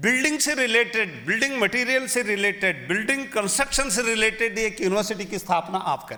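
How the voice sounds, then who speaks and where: With a Kannada accent, a man speaks in a raised, projected voice at a high pitch with ordinary pitch variation. His pace is moderate with hardly any pauses, over noticeable background noise. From Karnataka, India. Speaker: university vice chancellor. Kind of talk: formal speech at literary festival.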